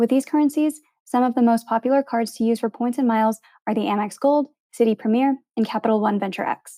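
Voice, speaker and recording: In an American accent, a woman talks at a very fast pace with a fairly high pitch, a dark, mellow tone and fairly even intonation, in a dry, close sound with no echo on a very clean recording with a silent background. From US, Filipino American. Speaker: podcast host. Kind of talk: interview; scripted intro.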